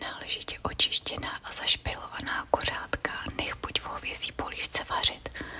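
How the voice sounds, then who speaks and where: A woman whispers fairly slowly while noticeable background noise carries on behind her. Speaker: ASMR creator reading old books. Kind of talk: ASMR sleep reading of old recipes. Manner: whispered, soft.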